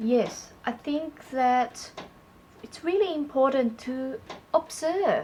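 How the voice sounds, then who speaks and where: A woman with a Malaysian accent and a high pitch speaks at a very slow pace with ordinary pitch variation. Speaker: public speaking coach. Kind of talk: conversational tutorial.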